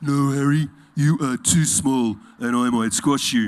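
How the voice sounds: Gruff and grumpy in tone, a put-on character voice plods along at a fairly slow pace. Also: man, medium pitch for a man.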